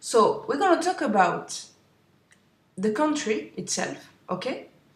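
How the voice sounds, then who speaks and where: A somewhat breathy woman with a French accent speaks at a fairly slow pace amid audible room echo. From France. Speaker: webinar host. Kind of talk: webinar presentation. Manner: halting.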